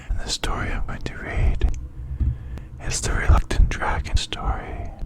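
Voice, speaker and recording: A whispering man at a moderate pace, with noticeable background noise behind him. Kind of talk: casual talk to camera.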